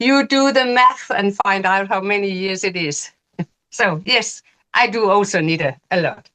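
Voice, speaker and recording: Speaking fairly slowly with a Danish accent, a woman uses a medium pitch and lively intonation. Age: 50s. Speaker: knitting podcast co-host and teacher. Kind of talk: casual chat. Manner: halting, hesitant.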